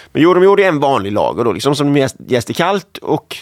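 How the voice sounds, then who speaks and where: In a dry, close sound with no echo, a man has an ordinary speaking voice, fairly high pitch and ordinary pitch variation. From Skåne, Sweden. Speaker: home brewing podcast co-host. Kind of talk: casual chat.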